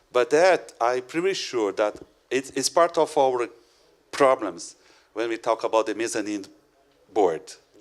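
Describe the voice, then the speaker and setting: At a fairly slow pace with long, frequent pauses, a man with a non-native accent speaks at a medium pitch with lively intonation. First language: not English. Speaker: educator and conference speaker. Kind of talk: conference Q&A. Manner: halting.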